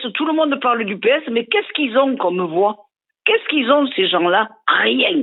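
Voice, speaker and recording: A woman with a high pitch speaks at a moderate pace in an animated tone. Her pitch swings very widely. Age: 70s. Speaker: radio show caller. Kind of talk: heated radio call-in rant.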